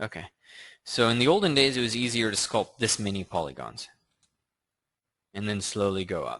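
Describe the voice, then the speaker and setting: A man at a medium pitch and moderate pace, with ordinary pitch variation, long and frequent pauses, and a quiet background. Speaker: 3D sculpting instructor. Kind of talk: live tutorial Q&A stream. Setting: live stream with screen share. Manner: casual with filler words.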